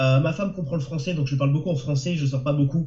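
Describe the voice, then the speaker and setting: Fairly even in intonation, a man with a fairly high pitch speaks at a very fast pace. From France. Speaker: novelist and translator. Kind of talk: webinar interview. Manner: halting.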